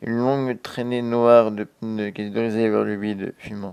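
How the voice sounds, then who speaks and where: A man with a dark, mellow tone speaks fairly slowly at medium pitch and with fairly even intonation, on a very clean recording with a silent background. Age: 20s. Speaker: storyteller. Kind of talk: reading aloud.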